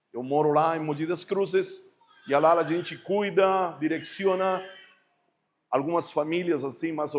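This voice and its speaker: The speaker has a strong Spanish accent and a fairly slow pace. Intonation stays fairly even. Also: man. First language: Spanish (speaking Portuguese). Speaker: pastor. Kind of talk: sermon. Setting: church service.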